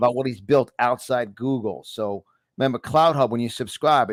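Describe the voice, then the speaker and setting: With a New York accent, a man speaks at a medium pitch and a moderate pace, using ordinary pitch variation. The sound is dry and close, with no echo. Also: very clean recording, silent background. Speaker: live show host.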